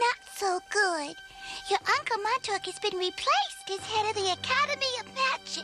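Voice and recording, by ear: An extremely high-pitched cartoonish character voice moves at a moderate pace over loud music in the background.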